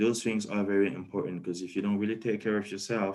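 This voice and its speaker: Against a quiet background, a man with a French accent speaks at a fairly low pitch in fairly even intonation. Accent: French-speaking. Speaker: PhD student. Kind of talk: webinar talk. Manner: hesitant, many fillers.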